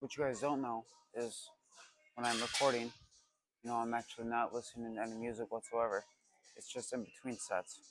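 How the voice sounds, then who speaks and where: Over music in the background, a man mumbles at a fairly quick pace in a monotone, flat delivery broken by long, frequent pauses. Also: medium pitch for a man. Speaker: fitness vlogger. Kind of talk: casual vlog chat. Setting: in a car, then gym. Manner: mumbling; casual, joking.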